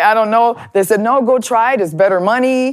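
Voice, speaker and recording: An unremarkable speaking voice with an American accent. It moves at a moderate pace with ordinary pitch variation. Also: woman. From US Midwest, Chicago and Minneapolis. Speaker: plumber and pipe fitter, advocate for women in trades. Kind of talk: interview. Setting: studio.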